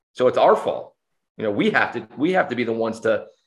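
The recording is very clean with a silent background as a man talks. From New Jersey. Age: 40s. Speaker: high school football coach. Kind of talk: interview. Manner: halting, many fillers.

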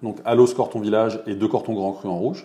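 The speaker is a man. He has a dark, mellow tone. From France, Loire Valley (Montlouis-sur-Loire). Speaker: winemaker. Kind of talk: interview. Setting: at his wine estate.

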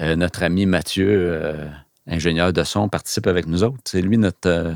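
On a very clean recording with a silent background, a man speaks in a Quebec accent at a moderate pace and a very deep, low pitch. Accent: Québécois French. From Quebec (Laval). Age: 50s. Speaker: photographer and business owner. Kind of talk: interview.

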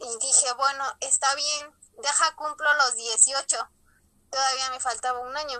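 Very slowly, a woman speaks in a high pitch. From Mexico, Ajalpan, Puebla. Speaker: former lay missionary. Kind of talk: testimony.

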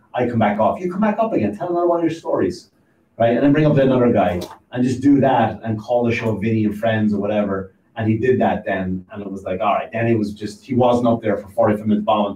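Somewhat breathy and with a dark, mellow tone, a man talks at a very fast pace with medium pitch and ordinary pitch variation. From Ireland. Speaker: stand-up comedian and podcaster. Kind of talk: casual chat. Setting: studio.

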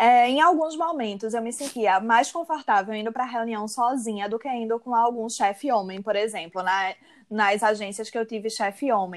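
A woman's fairly high voice, an ordinary speaking voice at a moderate pace with hardly any pauses and ordinary pitch variation, on a very clean recording with a silent background. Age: 30s. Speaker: advertising professional and university lecturer. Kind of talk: interview.

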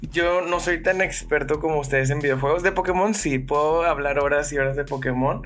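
With hardly any pauses, a man in a plain, everyday voice speaks at a fairly quick pace and fairly high pitch, with fairly even intonation. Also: very even loudness. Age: 20s. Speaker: podcast guest. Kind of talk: casual chat.

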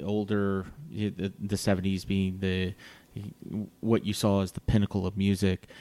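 A man's fairly low voice with a dark, mellow tone, an American accent and a moderate pace. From Virginia Beach, Virginia. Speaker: podcast host. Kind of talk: casual interview. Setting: studio.

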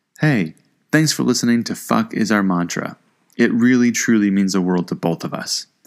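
In an American accent, a man with fairly low pitch speaks with lively intonation in a normal speaking voice. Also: moderate pace. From Iowa. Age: 30s. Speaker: podcast co-host. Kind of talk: casual chat.

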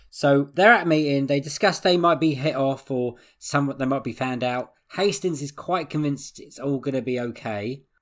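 Big swings in loudness mark this man's English accent, delivered at a fairly high pitch with ordinary pitch variation. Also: moderate pace. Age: 30s. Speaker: podcast host. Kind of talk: casual chat.

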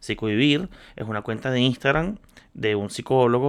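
A man with an ordinary speaking voice at medium pitch and ordinary pitch variation, on a very clean recording with a silent background. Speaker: podcaster on social media and content creation. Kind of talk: casual solo talk. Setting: home studio, on camera.

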